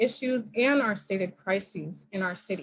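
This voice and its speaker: A woman with an American accent speaks in a somewhat breathy voice. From Oakland, California. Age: young. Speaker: mayoral candidate. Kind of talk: campaign speech. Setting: video call. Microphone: echo.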